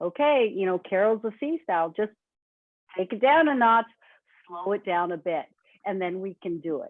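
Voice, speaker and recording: A woman speaks with medium pitch and lively intonation at a moderate pace. Her pauses are long and frequent. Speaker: webinar presenter. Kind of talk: webinar presentation.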